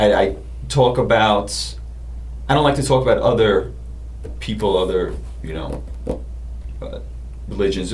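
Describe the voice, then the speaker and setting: A man with a New York accent speaks with very wide pitch swings. The room has an audible echo, and background noise is noticeable. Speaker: comedian. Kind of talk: casual chat.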